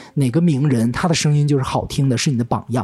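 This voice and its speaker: A man is speaking. His pitch sits fairly high. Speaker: podcast host. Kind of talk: casual chat. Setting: studio.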